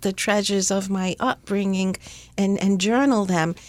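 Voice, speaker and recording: The speaker has an American accent and keeps a moderate pace. The recording is very clean, with a silent background. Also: woman. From US Northeast, Rhode Island. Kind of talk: interview. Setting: studio.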